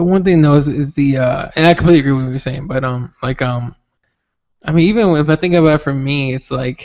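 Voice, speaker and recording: The man talks at a very fast pace. His pitch is fairly high, with ordinary pitch variation. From Mexico. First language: Spanish. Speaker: podcast host. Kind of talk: casual chat. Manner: animated.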